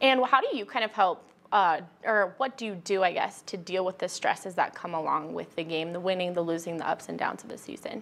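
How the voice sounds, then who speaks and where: Using a plain, everyday voice, a woman talks at a fairly quick pace with ordinary pitch variation. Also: medium pitch for a woman. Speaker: sports team reporter and interviewer. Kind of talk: casual interview.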